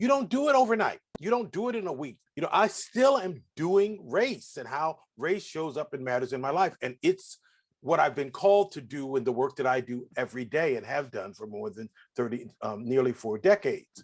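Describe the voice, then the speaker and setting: A man speaks at a moderate pace in a fairly high pitch with very wide pitch swings and big swings in loudness. His tone is animated, and the background is quiet. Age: 60s. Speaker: diversity educator and reverend. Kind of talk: interview. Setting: livestream video call.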